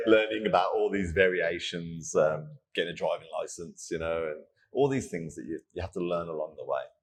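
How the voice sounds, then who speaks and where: A man speaks with a British accent at a fairly quick pace. His loudness swings a lot. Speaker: fitness coach. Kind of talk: casual interview chat. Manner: animated.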